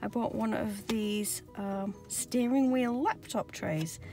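A woman speaks at a very slow pace, the sound dry with no echo and faint music playing in the background. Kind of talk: casual tutorial vlog chat. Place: car. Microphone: phone near.

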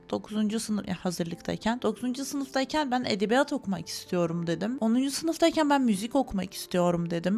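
Over noticeable background noise, a woman with a fairly high pitch speaks at a moderate pace with very wide pitch swings and hardly any pauses. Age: 20s. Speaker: YouTuber, master's student. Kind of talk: vlog monologue to camera. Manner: casual, chatty.

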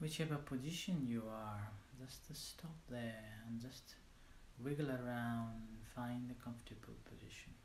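A man with a medium pitch speaks at a fairly slow pace in a gentle, calm tone with fairly even intonation, amid audible room echo and light background noise. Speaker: meditation teacher. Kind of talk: guided meditation. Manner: slow, calm, soothing, with long pauses; gentle, instructional. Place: home room. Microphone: lapel.

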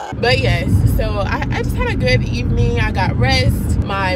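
A woman is heard over loud background noise, in a dry sound with no echo. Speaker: student vlogger. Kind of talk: casual vlog chat. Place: car. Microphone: phone near.

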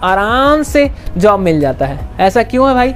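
Faint music plays in the background as a man talks. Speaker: vlogger on medical careers. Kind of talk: opinion vlog rant. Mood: frustrated, venting. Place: street. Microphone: lapel.

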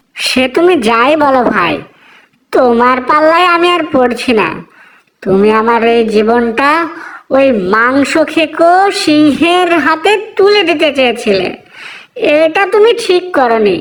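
A female-sounding, cartoonish character voice is pitched high. It moves at a fairly slow pace. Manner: naive, boastful.

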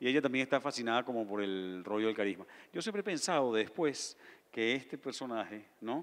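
An unremarkable speaking voice from a man, medium in pitch, at a fairly quick pace. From Venezuela. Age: 50s. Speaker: novelist. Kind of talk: on-stage interview at literature festival. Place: stage. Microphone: handheld.

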